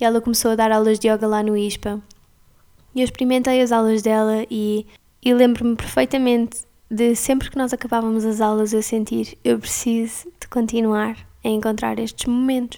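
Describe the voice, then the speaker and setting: Delivered at a moderate pace with a European Portuguese accent, the speech stays monotone and flat in intonation. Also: woman, fairly high pitch for a woman. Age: 20s. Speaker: yoga teacher and podcaster. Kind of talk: casual monologue.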